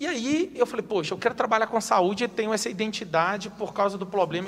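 Lively intonation runs through this man's speech. His pitch is high. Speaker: city councillor and teacher. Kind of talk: interview.

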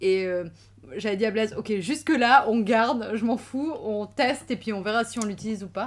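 Speaking at a moderate pace, a woman with an unremarkable speaking voice uses a fairly high pitch with ordinary pitch variation. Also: very clean recording, silent background. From Switzerland, Valais (Sion). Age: 30s. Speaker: lawyer and traveler. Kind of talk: casual chat.

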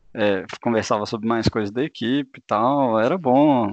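A man with a normal speaking voice talks at a fairly slow pace, his medium pitch and fairly even intonation captured in a dry, close sound with no echo. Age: 20s. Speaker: engineering student. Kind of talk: casual interview.

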